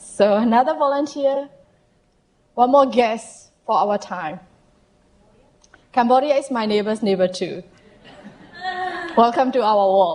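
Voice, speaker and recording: At a fairly slow pace, a woman speaks with a Burmese accent and a fairly high pitch. She leaves long, frequent pauses. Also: lively intonation. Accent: Southeast Asian (Burmese). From Myanmar. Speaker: health equity consultant. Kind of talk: presentation to audience. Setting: stage with audience.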